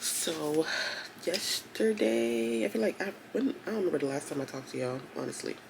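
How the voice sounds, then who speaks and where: Background noise is noticeable while a woman talks at a middling pace. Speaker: booktuber. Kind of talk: casual reading vlog. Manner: casual, hesitant with fillers.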